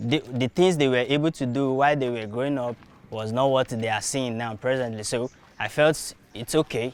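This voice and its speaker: The speech is fairly even in intonation, delivered with a Nigerian accent. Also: man. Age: young. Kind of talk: interview answer.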